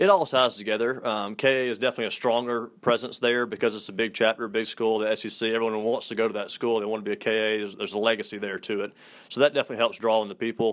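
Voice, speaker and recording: With a Southern US accent, a man of medium pitch talks at a very fast pace with fairly even intonation. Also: hardly any pauses. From US South. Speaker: fraternity staff member. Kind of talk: interview.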